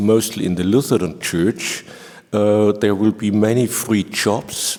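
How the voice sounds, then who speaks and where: Fairly even intonation comes through as a man speaks at a fairly low pitch. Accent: German. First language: German. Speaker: organ professor. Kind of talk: panel discussion.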